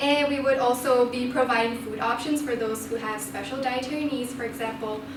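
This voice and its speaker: A woman speaks at a fairly quick pace in a high, flat monotone. Noticeable background noise and audible room echo surround her voice. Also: hardly any pauses. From Malaysia. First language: non-English. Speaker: student election candidate. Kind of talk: campaign speech.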